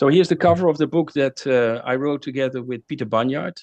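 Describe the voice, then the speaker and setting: A man with a Dutch accent is recorded with a dry, close sound, no echo and a quiet background. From Netherlands. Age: 60s. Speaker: climate author and speaker. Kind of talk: lecture. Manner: halting, many fillers.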